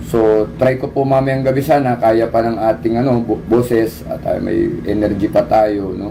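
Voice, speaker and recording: With ordinary pitch variation and a medium pitch, a man talks amid noticeable background noise. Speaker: livestream host. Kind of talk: casual livestream talk. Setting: livestream on camera.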